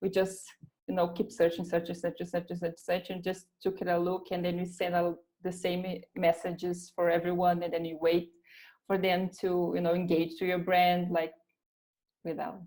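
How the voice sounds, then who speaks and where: With a Brazilian Portuguese accent, a woman speaks at a moderate pace in a fairly low, dark, mellow tone and monotone, flat intonation. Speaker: recruiter. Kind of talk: interview. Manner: halting.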